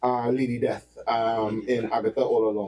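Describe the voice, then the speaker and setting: A man with a Trinidadian accent speaks at a moderate pace. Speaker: podcast co-host. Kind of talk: casual chat.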